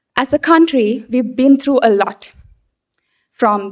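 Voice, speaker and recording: A woman's high voice in a Sri Lankan accent at a fairly slow pace. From Sri Lanka, Anuradhapura. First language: Sinhala. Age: 20s. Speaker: beauty pageant contestant. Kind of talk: prepared speech. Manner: formal.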